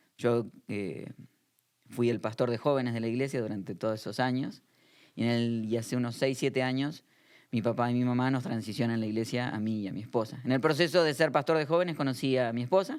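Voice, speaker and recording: At a fairly quick pace, a man with an Argentine accent talks in a medium pitch with ordinary pitch variation, on a very clean recording with a silent background. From Argentina, Buenos Aires area. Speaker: pastor. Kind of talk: interview conversation.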